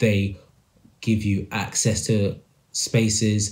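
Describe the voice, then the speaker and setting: In a British accent, a man with a fairly low, somewhat breathy voice speaks in a monotone, flat intonation. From UK. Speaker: podcast host discussing music industry. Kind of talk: solo commentary monologue. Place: home room. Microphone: phone near.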